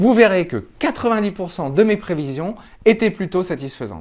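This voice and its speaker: The man's high voice moves at a moderate pace, full of lively intonation. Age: 40s. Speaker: finance YouTuber. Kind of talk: tutorial.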